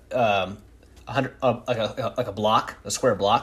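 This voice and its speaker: Somewhat breathy male speech with fairly even intonation. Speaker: podcast host. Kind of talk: casual interview chat.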